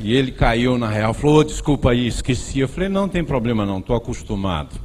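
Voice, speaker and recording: Speaking with a Bahian accent, a man uses ordinary pitch variation. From Bahia, Brazil. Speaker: preacher. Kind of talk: sermon.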